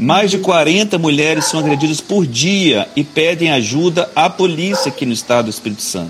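With noticeable background noise, a man speaks in a fairly high pitch using lively intonation. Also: moderate pace, hardly any pauses. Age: 40s. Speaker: state politician. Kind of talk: live-stream interview.

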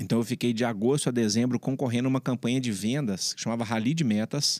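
A man's plain, everyday voice, medium-pitched and fairly quick with ordinary pitch variation, dry and close with no echo, on a very clean recording with a silent background. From Brazil, Belo Horizonte (Minas Gerais). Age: 30s. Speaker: entrepreneur, founder of a security company. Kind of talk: interview, casual conversation.

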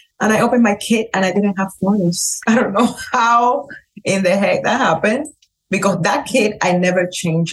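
A woman speaks at a moderate pace with a medium pitch and ordinary pitch variation. Her loudness stays very even. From Cuba. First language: Spanish. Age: 40s. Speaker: hairstylist. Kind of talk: casual chat. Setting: trade show. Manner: animated.

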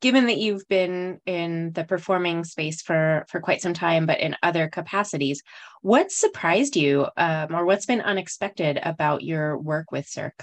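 Over a quiet background, a woman with an American accent uses an ordinary speaking voice, fairly low in pitch, at a moderate pace with lively intonation. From US Southwest, New Mexico. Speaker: podcast host. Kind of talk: interview.

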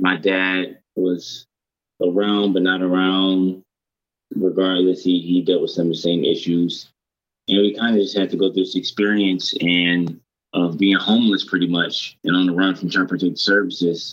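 In an American accent, a man with a very deep, low voice speaks at a moderate pace, with fairly even intonation and very even loudness. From Detroit, US. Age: young. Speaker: author and former foster youth. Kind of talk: interview.

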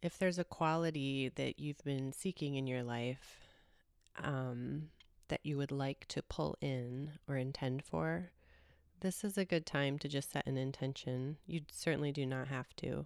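A woman with a very deep, low pitch speaks in a calm, gentle tone at a fairly slow pace with ordinary pitch variation. The recording is very clean with a silent background and a dry, close sound with no echo. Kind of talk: guided meditation, soothing and spoken straight to the listener. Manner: slow, calm and gentle, with long pauses between phrases; soft-spoken, warm and reassuring.

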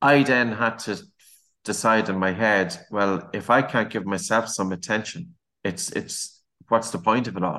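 In an Irish accent, a man speaks at a fairly slow pace with a fairly low pitch, a bright, sharp tone and ordinary pitch variation against a quiet background. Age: 40s. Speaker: podcast host, breathing educator. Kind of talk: casual interview chat.

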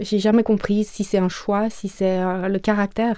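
Against a silent background in a very clean recording, a woman speaks at a medium pitch and moderate pace with monotone, flat intonation. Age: 40s. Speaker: person living with HIV. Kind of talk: personal testimony interview.

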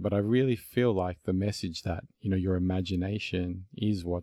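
This very clean recording has a silent background. A man with an Australian accent speaks in a very deep, low voice with a dark, mellow tone. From Melbourne, Australia. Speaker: podcast host. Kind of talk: casual interview conversation.

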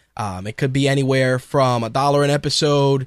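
This is a man with a New York accent. He talks at a moderate speed. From New York City (Queens), Puerto Rican heritage. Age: 30s. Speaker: podcast host. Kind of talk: casual monologue.

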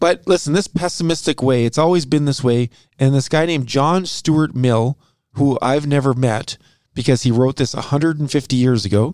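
This man has a normal speaking voice, pitched fairly high with ordinary pitch variation, at a moderate pace and very even loudness. The recording is very clean, with a dry, close sound, no echo and a silent background. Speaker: podcast host. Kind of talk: casual chat about finance.

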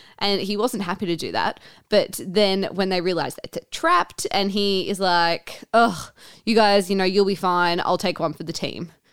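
On a very clean recording with a silent background, a woman with an Australian accent speaks at medium pitch and moderate pace with fairly even intonation. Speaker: podcast co-host, teacher. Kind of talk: casual chat.

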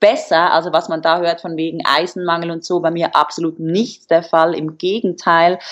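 A normal speaking voice talks fairly quickly. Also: woman. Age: 20s. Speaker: fitness model. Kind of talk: casual interview. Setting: video call.

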